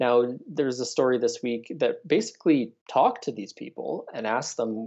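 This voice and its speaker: Over a quiet background, a man with a Canadian accent speaks at a moderate pace. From Canada. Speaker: political reporter. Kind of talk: interview. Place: home room. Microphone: earbuds.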